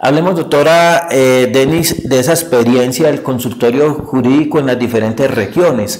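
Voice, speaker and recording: A man talks at a moderate pace and medium pitch in a plain, everyday voice, with ordinary pitch variation. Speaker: TV interviewer. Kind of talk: TV interview. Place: studio.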